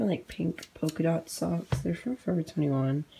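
Ordinary pitch variation marks a woman's somewhat breathy voice. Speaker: college student. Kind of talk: casual talk to camera. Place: home room.

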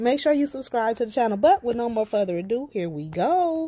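At a moderate pace, a woman is talking. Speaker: craft vlogger. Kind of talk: casual vlog chat. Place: garden. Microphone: phone near.

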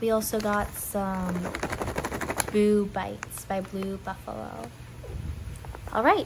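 With fairly even intonation, the speaker goes at a very slow pace against noticeable background noise. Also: woman. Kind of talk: voice-over narration of pet unboxing video.

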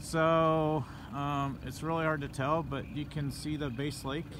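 Noticeable background noise runs under a man's voice. The sound is dry, with no echo. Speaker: police officer hosting a livestream. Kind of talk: live commentary answering viewer questions. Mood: calm, reassuring. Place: boat. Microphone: phone near.

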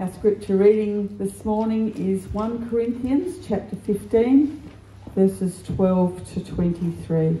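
Audible room echo surrounds a woman speaking very slowly with ordinary pitch variation. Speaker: scripture reader. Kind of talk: scripture reading. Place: church.

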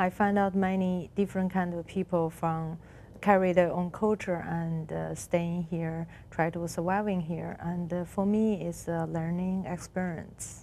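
Light background noise accompanies a speaker with a Chinese accent who talks at a fairly slow pace with monotone, flat intonation. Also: woman, fairly low pitch for a woman. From China, Beijing. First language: Mandarin Chinese. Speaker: artist. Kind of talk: interview. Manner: halting. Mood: calm, reflective. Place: studio. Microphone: lapel.

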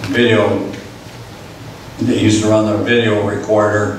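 A man speaks at a fairly slow pace. Audible room echo and light background noise are present. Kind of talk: personal war story presentation. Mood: sober recollection of disaster. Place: hall.

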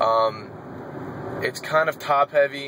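A man speaks with fairly even intonation. Noticeable background noise runs under him. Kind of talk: casual vlog chat. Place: car. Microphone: phone near.

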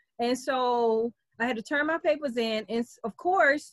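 A woman with a high voice speaks at a fairly slow pace with ordinary pitch variation, in a dry, echo-free recording against a quiet background. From New Orleans, US South. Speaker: internet marketer and voice app developer; presenter. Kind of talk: online presentation workshop. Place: home room. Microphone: video call.

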